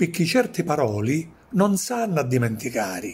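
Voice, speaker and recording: A man talks at a very slow pace with a high pitch. His voice makes very wide pitch swings. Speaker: poet. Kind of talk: poetry reading.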